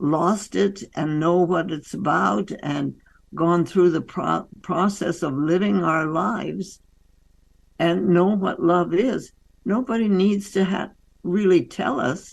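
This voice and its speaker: With vocal fry and ordinary pitch variation, a woman speaks very slowly in a fairly low pitch. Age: 80s+. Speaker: doctor and author. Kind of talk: interview.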